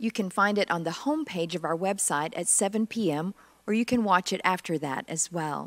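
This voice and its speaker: A woman talks at a moderate pace, and the background stays quiet. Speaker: minister. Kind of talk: worship welcome and announcements. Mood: warm, calm. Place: church.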